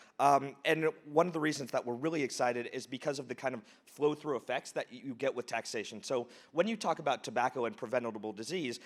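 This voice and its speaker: This is a man with an American accent and a normal speaking voice, talking at a fairly quick pace. His pitch is fairly high with ordinary variation, and the recording is very clean with a silent background. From United States. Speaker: charity founder. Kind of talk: conference talk.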